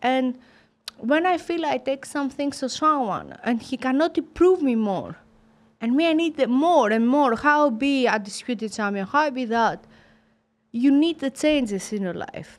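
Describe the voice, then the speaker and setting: A woman's high-pitched voice with a Greek accent, lively intonation and a fairly slow pace, on a very clean recording with a silent background. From Greece, Sparta. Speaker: professional boxer. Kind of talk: interview.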